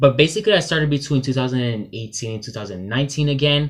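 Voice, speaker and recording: A man speaks at a very fast pace with medium pitch. The recording is very clean, with a silent background. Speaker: book vlogger. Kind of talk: casual vlog monologue. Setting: sister's bedroom. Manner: halting, with filler words.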